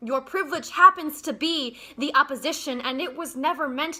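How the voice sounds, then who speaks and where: A woman projects a raised voice at a high pitch and a moderate pace. Her tone is bright and sharp, with ordinary pitch variation. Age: young. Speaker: spoken word poet. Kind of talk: spoken word poetry performance.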